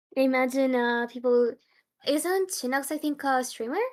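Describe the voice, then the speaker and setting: At a fairly quick pace, a woman with a non-native accent speaks at a high pitch with ordinary pitch variation. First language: non-English native language. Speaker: esports tournament commentator. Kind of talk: live commentary. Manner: halting, searching for words.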